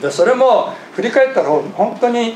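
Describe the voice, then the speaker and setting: Very wide pitch swings come through amid audible room echo and light background noise. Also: man. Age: 50s. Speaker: pastor. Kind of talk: sermon. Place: church. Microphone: podium.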